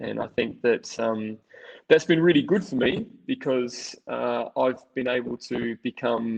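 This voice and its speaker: A man talks with an Australian accent. His pace is very slow. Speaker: tech company co-founder. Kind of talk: webinar presentation. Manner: starts slow, speeds up later. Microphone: slight distortion in audio.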